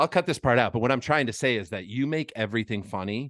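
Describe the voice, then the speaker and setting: A man with a normal speaking voice talks at a medium pitch with ordinary pitch variation, the sound dry and close with no echo over a quiet background. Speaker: podcast host and comedian. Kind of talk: casual chat. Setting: roadside podcast at gas station.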